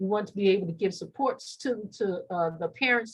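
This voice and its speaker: Medium-pitched female speech at a fairly quick pace. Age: 60s. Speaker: mental health clinician. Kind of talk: workshop presentation. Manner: halting.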